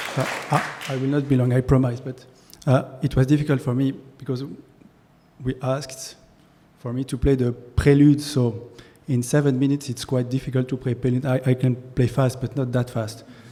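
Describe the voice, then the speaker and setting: Speaking with a French accent, a man uses a somewhat breathy, dark, mellow voice of medium pitch, monotone and flat, at a fairly quick pace broken by long, frequent pauses. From France. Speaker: concert pianist. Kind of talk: speech at a ceremony. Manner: halting, repeats words.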